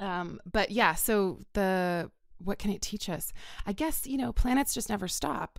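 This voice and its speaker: With a plain, everyday voice, a woman talks at a fairly slow pace and medium pitch, her intonation lively. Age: 40s. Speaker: astrologer. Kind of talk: interview.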